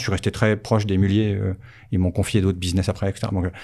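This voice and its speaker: The man's tone is dark and mellow. He speaks very fast. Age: 50s. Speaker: company founder. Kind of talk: casual interview. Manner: halting, many repetitions.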